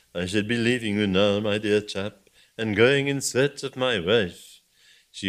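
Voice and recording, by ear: Reading aloud in a natural voice with ordinary pitch variation, the speaker is heard against a quiet background.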